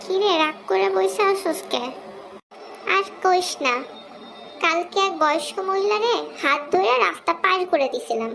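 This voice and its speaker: A cartoonish character voice at an extremely high pitch moves at a moderate pace over clear background noise. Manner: cheeky, comic.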